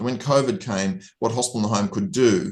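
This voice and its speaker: A man with an Australian accent and very wide pitch swings. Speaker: hospital-at-home physician. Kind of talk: interview.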